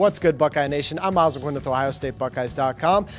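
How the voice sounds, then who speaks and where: A man speaks at a very fast pace with ordinary pitch variation. Light background noise is present. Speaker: digital sports host. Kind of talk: sports preview presentation. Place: studio. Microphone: handheld.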